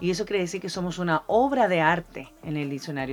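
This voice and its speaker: At a moderate pace, a woman with fairly low pitch talks with lively intonation. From Argentina, then Chile. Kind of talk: casual Bible teaching chat.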